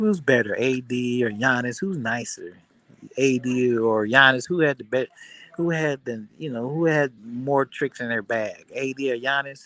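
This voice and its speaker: With a bright, sharp tone and medium pitch, a man talks at a fairly slow pace and shows ordinary pitch variation. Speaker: sports livestream host. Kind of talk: casual livestream chat. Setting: airport. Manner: loud.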